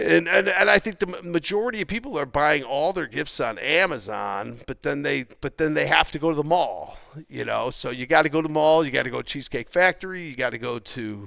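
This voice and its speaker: Speaking at a fairly quick pace, a man with a fairly high pitch uses lively intonation, and vocal fry runs through his voice. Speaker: stock trading teacher. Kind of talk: market recap. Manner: repetitive, stammering fillers.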